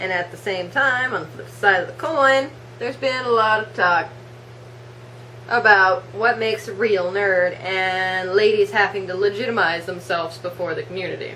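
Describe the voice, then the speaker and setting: The speech moves at a moderate pace with lively intonation and big swings in loudness. Room echo is audible. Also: woman. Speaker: cosplay vlogger. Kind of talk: vlog rant. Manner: animated.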